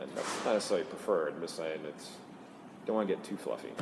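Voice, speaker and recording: A man's voice carries audible room echo. Noticeable background noise is present. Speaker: engineering director at a tech company. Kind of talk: conference interview. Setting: conference venue. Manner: halting, with fillers.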